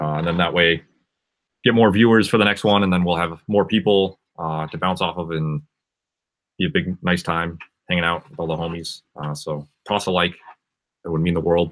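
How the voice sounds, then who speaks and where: A man with an American accent speaks at a very deep, low pitch and a moderate pace, with fairly even intonation and long, frequent pauses. The background is quiet. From Massachusetts, outside Boston. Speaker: music producer and livestreamer; live streamer. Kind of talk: casual livestream chat. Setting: live stream from home studio. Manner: casual, filler-heavy. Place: home room. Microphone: webcam.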